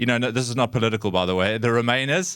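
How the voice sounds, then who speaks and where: A man's medium-pitched voice in a South African accent, bright and sharp in tone, with fairly even intonation on a very clean recording with a silent background. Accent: South African twang. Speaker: community charity worker, former drama teacher. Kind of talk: public talk. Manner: halting, many fillers and repetitions.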